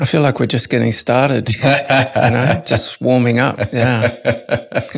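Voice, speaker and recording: With an Australian accent, a man speaks at a very slow pace in a somewhat breathy voice. His intonation is fairly even and his loudness very even. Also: medium pitch for a man. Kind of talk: podcast interview answer. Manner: reflective, with pauses.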